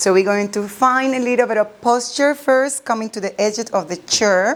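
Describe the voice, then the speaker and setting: This is a woman with an ordinary speaking voice. Her pitch sits fairly high and varies an ordinary amount. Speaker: chair yoga instructor. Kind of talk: guided chair yoga class. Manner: calm, slow, soothing.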